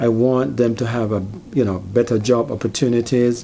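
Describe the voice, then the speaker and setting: Over noticeable background noise, a man with a Jamaican accent and medium pitch speaks at a moderate pace with fairly even intonation. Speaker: YouTuber. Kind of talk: personal vlog monologue. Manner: halting, many fillers.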